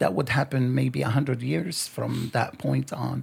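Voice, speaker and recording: Speaking with a Lebanese accent, a man moves at a fairly slow pace. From Lebanon. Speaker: author. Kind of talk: interview.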